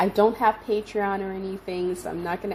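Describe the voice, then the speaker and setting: The woman's intonation is monotone and flat. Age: 60s. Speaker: visual artist, channel owner. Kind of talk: casual vlog talk. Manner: casual with frequent hesitations.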